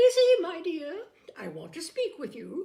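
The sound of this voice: In a put-on character voice, a woman speaks at a fairly slow pace with extremely high pitch, very wide pitch swings, vocal fry and a dark, mellow tone.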